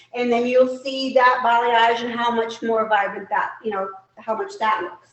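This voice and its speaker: The speech moves at a moderate pace with ordinary pitch variation, and audible room echo fills the recording. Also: woman, fairly high pitch for a woman. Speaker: hair educator. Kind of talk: live product demo tutorial. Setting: live stream.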